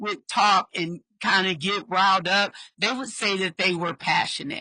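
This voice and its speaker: A woman speaks loudly at a medium pitch, her tone bright and sharp. Her pace is fairly slow. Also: dry, close sound with no echo. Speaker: podcast host, social worker. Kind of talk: interview podcast conversation. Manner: naturally loud.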